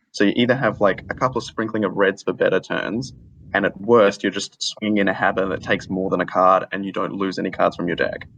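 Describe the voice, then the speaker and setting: A man talks very fast with an Australian accent. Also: fairly low pitch for a man, fairly even intonation. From Australia, Adelaide. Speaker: caller. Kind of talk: casual chat.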